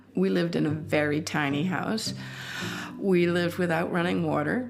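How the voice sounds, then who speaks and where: With an American accent, a woman speaks at a moderate pace amid noticeable background noise and audible room echo. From Block Island, Rhode Island, US New England. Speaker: bird bander and naturalist. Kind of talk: interview.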